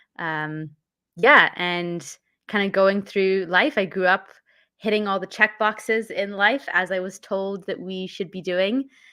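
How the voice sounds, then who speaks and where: On a very clean recording with a silent background, a speaker with a Canadian accent talks at a fairly slow pace in a bright, sharp tone. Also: woman, medium pitch for a woman, ordinary pitch variation. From Canada, born in London. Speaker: mindfulness and emotional intelligence coach. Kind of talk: casual interview.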